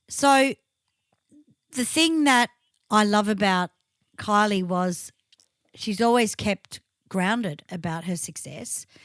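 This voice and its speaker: In an Australian accent, this speaker goes at a very slow pace with long, frequent pauses. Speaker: podcast host and tribute band singer. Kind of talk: casual chat.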